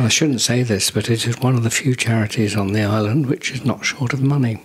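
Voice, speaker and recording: This man talks at a fairly quick pace with a southern English accent. His intonation is fairly even, and background noise is noticeable. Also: medium pitch for a man. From southern England, Guildford, Surrey. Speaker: charity founder, retired marketing executive. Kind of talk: podcast interview. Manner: hesitant, many ums.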